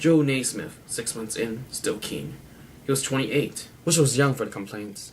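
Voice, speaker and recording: A somewhat breathy man speaks at a medium pitch and moderate pace with ordinary pitch variation. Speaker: amateur video blogger reading a book. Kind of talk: reading a crime novel aloud to camera.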